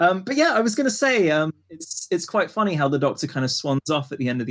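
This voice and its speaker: Speaking at a fairly quick pace, a man uses lively intonation in an ordinary speaking voice. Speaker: podcast co-host. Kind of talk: casual chat.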